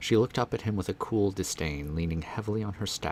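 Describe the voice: The text is given plain reading aloud. Nothing more is added to the delivery.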